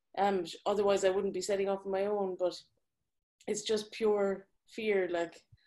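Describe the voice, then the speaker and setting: Speaking with an Irish accent, this voice has a dark, mellow tone and monotone, flat intonation. The pace is moderate, broken by long, frequent pauses. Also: woman, medium pitch for a woman. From Ireland. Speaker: graphic designer. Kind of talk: live Q&A discussion. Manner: halting.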